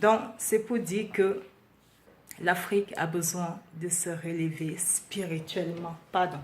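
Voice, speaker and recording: Very slow speech from a woman at a fairly low pitch, with fairly even intonation. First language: Beti (Ewondo) (speaking French). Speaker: vlogger. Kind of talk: impassioned monologue. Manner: halting, searching for words.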